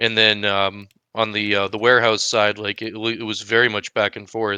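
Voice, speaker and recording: Monotone, flat intonation and a bright, sharp tone mark this voice with an American accent, recorded dry and close with no echo over a quiet background. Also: man, fairly low pitch for a man, moderate pace. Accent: Maine accent, noted by others. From Maine, US. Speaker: esports caster. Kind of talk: live game commentary. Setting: live stream.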